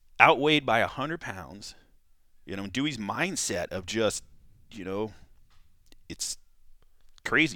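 A man's medium-pitched voice in a General American accent, bright and sharp, with very wide pitch swings, big swings in loudness, a fairly slow pace and long, frequent pauses, in a very clean recording with a silent background. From California. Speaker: cutman and firefighter. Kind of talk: casual chat.

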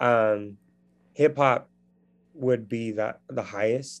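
This is an unremarkable speaking voice with fairly even intonation, delivered at a fairly slow pace. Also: man. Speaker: edtech founder. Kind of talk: interview, conversational.

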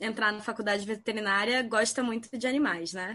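With ordinary pitch variation, a plain, everyday voice moves at a moderate pace. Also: woman. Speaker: veterinarian. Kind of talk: casual chat.

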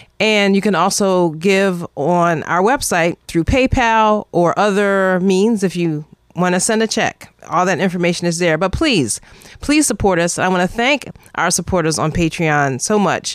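A woman with an unremarkable speaking voice speaks at a fairly slow pace, her medium pitch showing ordinary variation. Loudness stays very even on a very clean recording with a silent background. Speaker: radio host. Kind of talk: news headlines and interview.

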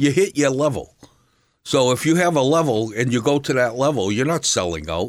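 A man with vocal fry speaks at a medium pitch and a fairly quick pace, his intonation lively. His loudness stays very even in a very clean recording with a silent background. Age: 70s. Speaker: painter. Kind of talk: interview. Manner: halting.

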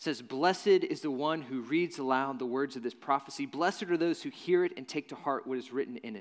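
This man has an American accent and an unremarkable speaking voice. He speaks fairly quickly at a fairly high pitch. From Nashville, Tennessee (US South). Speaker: pastor. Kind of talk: sermon. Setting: church.

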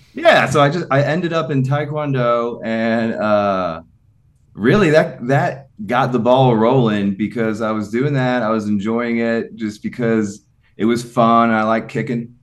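Here is a man with a normal speaking voice at a medium pitch. He talks at a fairly slow pace with ordinary pitch variation. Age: 40s. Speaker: personal trainer and gym owner. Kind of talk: casual interview chat.

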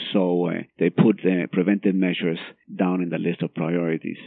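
A man talks at a fairly quick pace with a Spanish accent. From Guatemala. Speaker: cardiologist. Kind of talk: interview.

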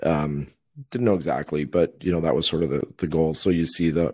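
The intonation stays fairly even, with an American accent. The pace is very fast. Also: man, very clean recording, silent background. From Minnesota, US. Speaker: venture capital investor. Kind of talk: interview.

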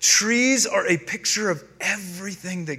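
Speaking with an American accent at a very slow pace, a man has a bright, sharp tone in audible room echo. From North Carolina, US South. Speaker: pastor. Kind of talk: sermon.

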